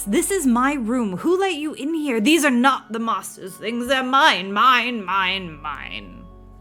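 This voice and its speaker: A female-sounding, put-on character voice rings out high-pitched, raised and projected, with an angry tone. It moves at a fairly slow pace with hardly any pauses, over clear music in the background. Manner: angry, possessive, shrieking.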